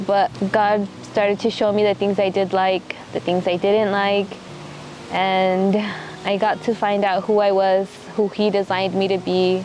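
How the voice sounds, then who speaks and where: Over noticeable background noise, a woman speaks in a Texan accent at a medium pitch and a fairly slow pace. Her intonation is monotone and flat, her loudness very even. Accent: Texan American English. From Texas, Midland. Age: 20s. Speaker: missionary. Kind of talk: documentary interview testimony. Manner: reflective, halting.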